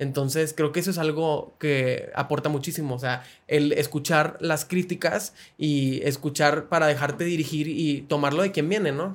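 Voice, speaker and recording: A man with a plain, everyday voice, fairly high in pitch, at a moderate pace with fairly even intonation. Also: very clean recording, silent background. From Monterrey, northern Mexico. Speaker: podcast host. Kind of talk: interview.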